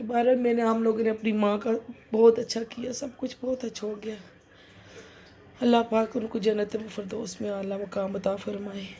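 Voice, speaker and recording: Keeping a moderate pace, this woman talks with a fairly high pitch and monotone, flat intonation. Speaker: vlogger. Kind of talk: casual vlog talk.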